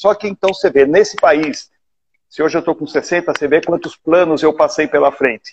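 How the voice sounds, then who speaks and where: Here a man with a normal speaking voice speaks at a moderate pace, his pitch fairly high and ordinary in variation. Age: 60s. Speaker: live show host, businessman. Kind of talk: casual interview. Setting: online live stream.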